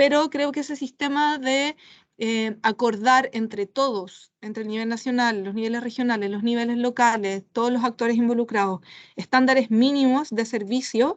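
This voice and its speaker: The speech has fairly even intonation against a quiet background. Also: woman, high pitch for a woman, moderate pace. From Chile. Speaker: international policy expert. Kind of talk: expert panel discussion. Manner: hesitant, many fillers.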